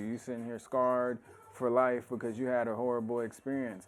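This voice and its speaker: This man's voice falls at a medium pitch. His delivery moves along fairly quickly. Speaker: stream show host. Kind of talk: casual chat. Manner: loud.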